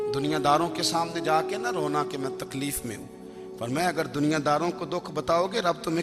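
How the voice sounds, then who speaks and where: There is music in the background as a man speaks. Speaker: Islamic preacher. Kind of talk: religious sermon. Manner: emotional.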